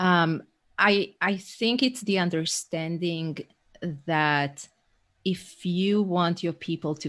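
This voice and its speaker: Over a quiet background, a woman with an Israeli accent speaks at a very slow pace and a fairly low pitch. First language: Hebrew. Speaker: leadership coach. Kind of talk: casual interview. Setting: remote call.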